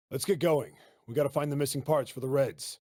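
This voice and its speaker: A man puts on a raspy character voice at a fairly high pitch, with fairly even intonation and a fairly quick pace. The recording is very clean, with a silent background. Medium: video game. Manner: casual, folksy.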